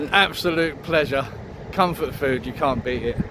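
Light noise sits behind a man talking at a moderate pace. The recording is dry, without echo. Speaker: vlogger. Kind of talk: casual vlog chat. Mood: content, winding down. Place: street. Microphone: phone near.

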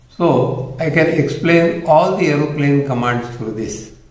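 Audible room echo around a male speaker with ordinary pitch variation. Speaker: science toy demonstrator. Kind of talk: tutorial. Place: home room.

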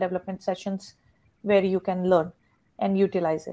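This is a woman's voice. Her tone is dark and mellow. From India. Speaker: educator trainer and webinar host; educator trainer, webinar host. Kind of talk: webinar hosting. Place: home room. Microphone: video call.

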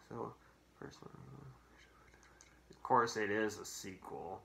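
With audible room echo, a man speaks at a slow pace in a fairly low pitch, his fairly bright tone marked by vocal fry. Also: ordinary pitch variation.

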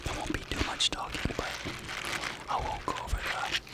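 Moderate-paced speech from a man. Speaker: ASMR creator. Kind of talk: ASMR soft-spoken talk to camera. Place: home room. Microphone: studio mic.

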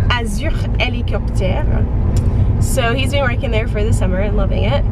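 A woman speaks over loud background noise. Her sound is dry, with no echo. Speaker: travel vlogger. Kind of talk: casual vlog chat. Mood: cheerful, chatty. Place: car.

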